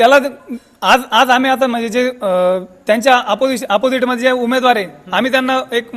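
A man speaks in an extremely high pitch. His intonation is fairly even, and background noise is noticeable. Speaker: local villager. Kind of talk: street interview.

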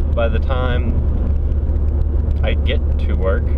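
A man's voice comes through dry, with no echo, over loud background noise. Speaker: driving vlogger. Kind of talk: casual vlog chat. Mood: relaxed, occasionally irritated. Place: car. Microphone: phone near.

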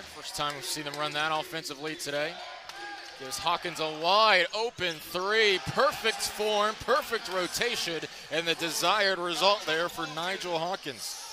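A man speaks with ordinary pitch variation. The sound is dry with no echo, and there is noticeable background noise. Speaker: play-by-play commentator. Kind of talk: commentary. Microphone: headset.

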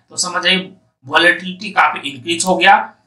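In a room with audible echo, a man with a high pitch speaks at a fairly quick pace in a bright, sharp tone.

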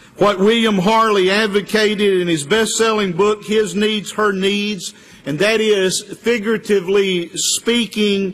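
A man speaks in a high pitch with fairly even intonation. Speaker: preacher. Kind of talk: sermon. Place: church. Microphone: podium.

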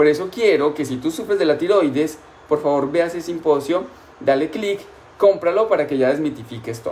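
With ordinary pitch variation, a man speaks fairly quickly. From Colombia. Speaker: nutrition doctor. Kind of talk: live-streamed health talk. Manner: warm, affectionate. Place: home room. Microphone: phone near.

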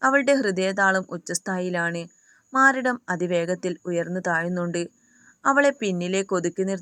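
Reading aloud in a natural voice with lively intonation, over a quiet background

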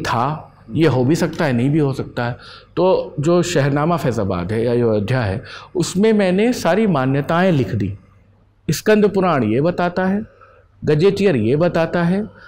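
A man's high voice with very wide pitch swings and a fairly slow pace. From Ayodhya, Uttar Pradesh; Uttar Pradesh. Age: 40s. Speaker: poet and editor; poet. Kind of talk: interview. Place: home room. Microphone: lapel.

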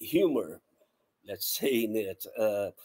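A man speaks with a Portuguese accent. The background is quiet. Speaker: sound artist. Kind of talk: artist presentation. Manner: halting, many repetitions. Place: home room.

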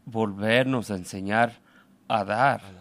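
The recording is very clean with a silent background, and a man speaks at a fairly slow pace in a dry, close sound with no echo. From Mexico, Aguascalientes (Calvillo). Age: 50s. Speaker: immigrant construction worker and activist. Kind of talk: radio interview. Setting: radio studio. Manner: halting.

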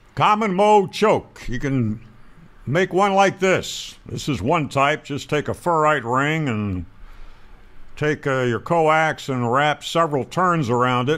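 Speaking slowly, a man has a fairly high pitch, a fairly bright tone and lively intonation.

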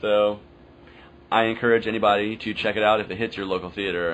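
Very fast speech in an American accent, with fairly even intonation and light background noise. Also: man. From US South. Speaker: podcast host. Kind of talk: casual monologue. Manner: casual, filler-heavy.

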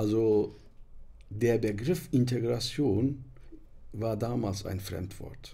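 With a dark, mellow, somewhat breathy tone, a man speaks at a very slow pace, using ordinary pitch variation and long, frequent pauses. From Turkey. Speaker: interpreter, publisher, author. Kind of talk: podcast interview answer. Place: studio. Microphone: studio mic.

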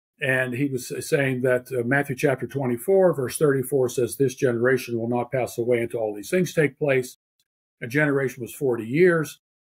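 With an American accent, a man speaks in a somewhat breathy voice with fairly even intonation. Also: medium pitch for a man, moderate pace. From Pittsburgh, Pennsylvania. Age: 70s. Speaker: theologian and author. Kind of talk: interview.

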